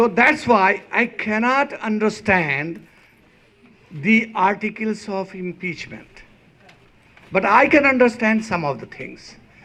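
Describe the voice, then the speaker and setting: In a raised, projected voice, a high-pitched man speaks at a very slow pace with ordinary pitch variation. Long, frequent pauses break his speech, and his loudness swings widely. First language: not English. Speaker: rally speaker. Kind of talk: rally speech.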